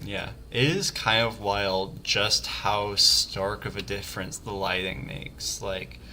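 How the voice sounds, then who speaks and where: Against noticeable background noise, a man with an American accent and a fairly low pitch speaks at a very slow pace with lively intonation. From US South. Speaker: game designer streamer. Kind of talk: let's play livestream commentary. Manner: casual, hesitant with fillers.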